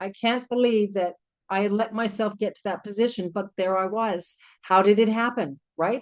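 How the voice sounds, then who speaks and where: With a Canadian accent, a woman speaks at a fairly high pitch and a moderate pace, using ordinary pitch variation. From Canada, Vancouver Island. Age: 60s. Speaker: network marketing presenter. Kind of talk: testimony. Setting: video call. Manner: animated.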